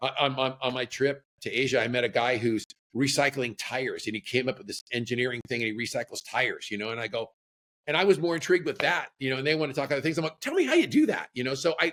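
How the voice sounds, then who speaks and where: Talking at a very fast pace, a man with an American accent uses a medium pitch and ordinary pitch variation. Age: 60s. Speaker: surf apparel entrepreneur. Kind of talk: casual interview chat. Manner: halting, many repeated words.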